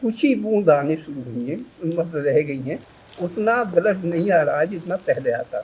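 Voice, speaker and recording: Over noticeable background noise, a man talks at a moderate pace with a high pitch and lively intonation. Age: 60s. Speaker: patient giving testimonial. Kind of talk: testimony.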